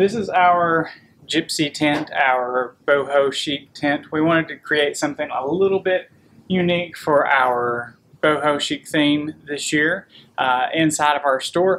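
Over light background noise, a man speaks at a fairly slow pace with ordinary pitch variation. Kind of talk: casual vlog chat. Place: shop. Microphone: camera far.

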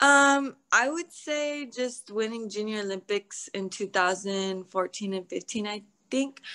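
A woman talks in a bright, sharp tone with ordinary pitch variation. The background is quiet. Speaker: interviewee. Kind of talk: interview answer. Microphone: video call.

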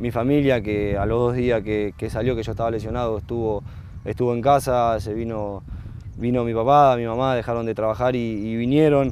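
Over light background noise, a man with a medium-pitched voice speaks with fairly even intonation, and the sound is dry with no echo. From Argentina, Rosario; Argentina. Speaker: professional footballer. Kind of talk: interview. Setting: football stadium. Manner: halting, many fillers and repetitions. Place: stadium. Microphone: lapel.

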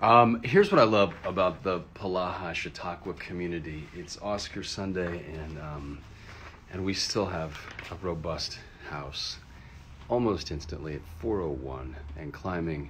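There is light background noise. Over it, a man talks in a very deep, low voice. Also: ordinary pitch variation, fairly slow pace. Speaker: livestream host. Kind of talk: casual livestream chat. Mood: upbeat, friendly. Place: home room. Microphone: phone near.

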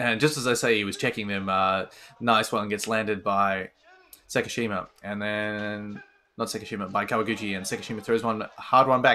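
A man speaks with a fairly low pitch. His intonation stays monotone and flat. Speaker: martial arts commentator. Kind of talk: live commentary. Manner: fast.

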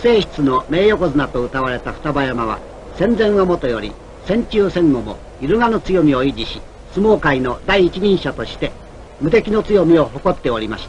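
A man speaks at a moderate pace, his pitch swinging very widely and his loudness rising and falling a lot. Noticeable background noise runs underneath. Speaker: radio announcer. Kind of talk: documentary narration.

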